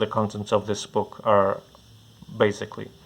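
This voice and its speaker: Mumbled speech delivered with a Portuguese accent. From Portugal. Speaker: comic bookstore owner. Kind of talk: casual product preview. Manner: halting, many fillers and repeats; mumbling.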